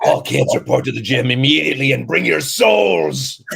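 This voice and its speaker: A man puts on a character voice at a medium pitch. He delivers it at a moderate pace. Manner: ominous.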